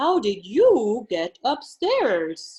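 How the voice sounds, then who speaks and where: A woman uses a put-on character voice, pitched high. Her pitch swings very widely. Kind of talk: children's storytime reading. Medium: read story.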